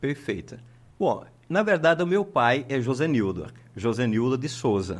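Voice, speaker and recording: Pitch swinging very widely, a man delivers his words at a fairly slow pace. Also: medium pitch for a man. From Pernambuco, Brazil (interior, Timbaúba). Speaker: psychologist. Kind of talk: podcast interview. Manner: halting.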